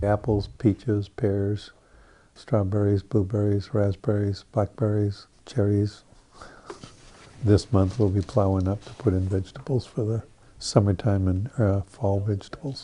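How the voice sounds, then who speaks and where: At a fairly slow pace, a man with a plain, everyday voice speaks in a fairly low pitch with fairly even intonation. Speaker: orchard farmer. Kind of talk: documentary interview.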